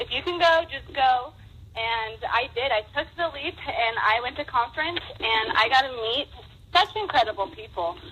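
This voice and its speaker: An American accent marks this woman's high-pitched voice. She talks at a moderate pace with lively intonation over noticeable background noise. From Nevada, US (Las Vegas). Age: 20s. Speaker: stay-at-home mom, network marketer. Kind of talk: testimony.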